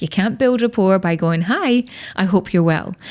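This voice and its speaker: A woman speaks in a Scottish accent with lively intonation. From Scotland. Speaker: personal branding expert. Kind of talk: podcast interview.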